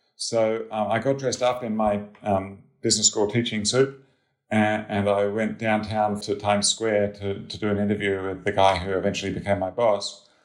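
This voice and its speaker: In an Australian accent, a man speaks at a moderate pace with monotone, flat intonation and a fairly low pitch, on a very clean recording with a silent background. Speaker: head of financial research. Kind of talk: interview.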